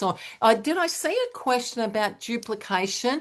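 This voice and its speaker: Over a quiet background, a woman with an ordinary speaking voice talks at a fairly high pitch and a moderate pace. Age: 60s. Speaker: direct sales team leader. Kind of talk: webinar Q&A.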